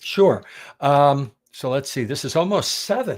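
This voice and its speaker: This man has an American accent and a fairly high pitch, with very wide pitch swings. The recording is very clean, with a silent background. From Pennsylvania, US. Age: 60s. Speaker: carnivore diet teacher. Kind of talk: interview, personal story.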